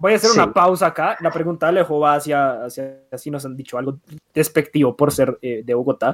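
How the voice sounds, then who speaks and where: In an ordinary speaking voice, a man talks fairly quickly at a fairly high pitch, with ordinary pitch variation and big swings in loudness. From Colombia (coastal and Medellín family). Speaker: podcast host. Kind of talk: casual chat.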